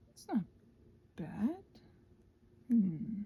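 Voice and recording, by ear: A woman's fairly high voice with a husky, rough edge, big pitch swings and a very slow pace.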